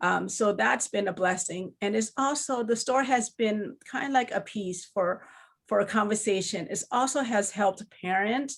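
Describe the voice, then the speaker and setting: A woman with a Lao accent speaks at a moderate pace, her fairly high pitch showing ordinary variation. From Laos. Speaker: children's book author. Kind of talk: panel discussion. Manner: halting.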